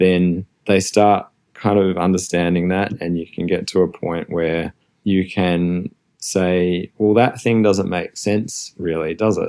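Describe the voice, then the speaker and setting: A man with an Australian accent speaks in a flat, monotone way. His very deep, low voice has a dark, mellow tone. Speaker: design executive. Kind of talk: interview.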